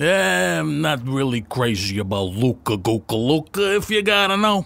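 A man speaks at a medium pitch and moderate pace. His voice moves in very wide pitch swings. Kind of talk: comic gangster sketch. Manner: chatty, petty, eager.

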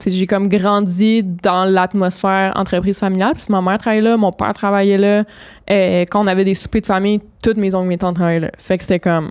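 A woman speaking in a monotone, flat intonation against a quiet background. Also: fairly quick pace. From Quebec. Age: 20s. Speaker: entrepreneur and single mother; podcast guest. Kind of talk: casual chat. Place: studio. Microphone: studio mic.

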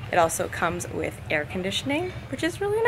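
A woman's voice over noticeable background noise. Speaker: travel vlogger. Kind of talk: casual vlog tour. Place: beach. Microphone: phone near.

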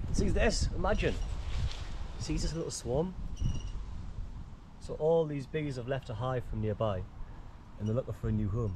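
A man's lively intonation at a moderate pace, in a dry sound with no echo and noticeable background noise. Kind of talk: casual vlog chat. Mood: cheerful and curious. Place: garden. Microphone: phone near.

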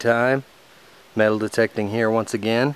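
A man over loud background noise, in a dry sound with no echo. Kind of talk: casual vlog chat. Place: forest. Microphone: phone near.

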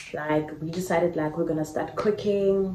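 A woman speaks in a monotone, with flat intonation and a very deep, low pitch. Light background noise and audible room echo sit behind her. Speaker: vlogger. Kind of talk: casual vlog chat. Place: home room. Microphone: phone near.

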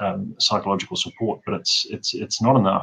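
Here a man speaks with a New Zealand accent. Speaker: forensic odontologist; guest. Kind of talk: interview. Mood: earnest, reflective. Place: home room. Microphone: video call.

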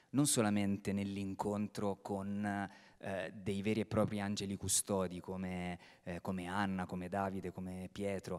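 A man speaks at a fairly slow pace against a quiet background. His pitch is fairly low and his intonation monotone and flat. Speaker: theatre director; theatre director on a panel. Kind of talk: panel talk. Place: stage. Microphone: handheld.

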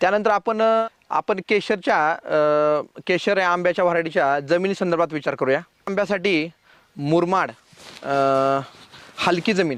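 A man's high-pitched voice with ordinary pitch variation and very even loudness. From Maharashtra, Solapur district. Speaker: horticulturist and nursery owner. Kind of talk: farming advice interview. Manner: halting, many pauses and fillers.

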